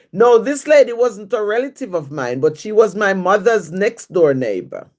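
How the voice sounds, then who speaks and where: With a Jamaican accent, a woman with a fairly high voice and vocal fry speaks at a fairly slow pace, her pitch swinging very widely, in a very clean recording with a silent background. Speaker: livestream host, writer. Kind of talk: casual livestream chat answering viewer questions.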